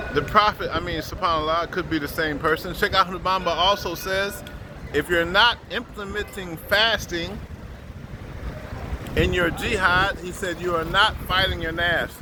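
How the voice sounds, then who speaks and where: Over noticeable background noise, a man with a high pitch talks at a moderate pace with fairly even intonation. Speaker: Sufi spiritual teacher. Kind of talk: religious teaching talk.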